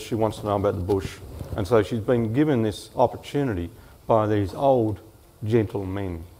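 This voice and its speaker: Speaking in an Australian accent, a man with a fairly low pitch keeps a moderate pace and ordinary pitch variation. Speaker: author. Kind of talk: panel talk and reading aloud.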